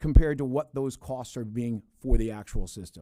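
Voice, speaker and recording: A man's dark, mellow voice on a very clean recording with a silent background. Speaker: insurance industry executive testifying. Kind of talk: legislative committee testimony. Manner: fast.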